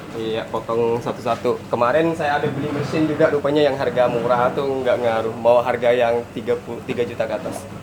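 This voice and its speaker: Medium-pitched male voice at a fairly quick pace, fairly even intonation and hardly any pauses, over noticeable background noise. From Madura, Indonesia. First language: Madurese (speaking Indonesian). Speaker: street food vendor. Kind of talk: casual interview.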